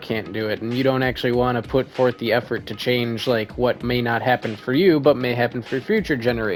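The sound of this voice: A reading voice, unforced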